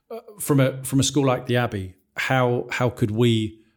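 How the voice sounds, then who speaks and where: On a very clean recording with a silent background, a man speaks at medium pitch, somewhat breathy, with fairly even intonation. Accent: English. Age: 40s. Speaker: school podcast host, staff member. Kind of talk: casual discussion.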